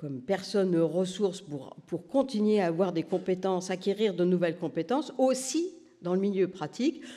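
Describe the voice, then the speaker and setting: A man speaks at a moderate pace with lively intonation and a high pitch. His tone is dark and mellow. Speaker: nursing research professor, doctoral supervisor. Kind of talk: conference talk. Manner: hesitant, many fillers.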